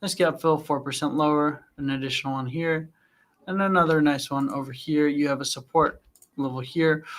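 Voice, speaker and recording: A man speaks at a moderate pace with a fairly high pitch and fairly even intonation. It is a normal speaking voice. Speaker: trading analyst hosting live Q&A stream. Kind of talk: live Q&A with chart analysis. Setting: livestream. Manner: conversational with fillers.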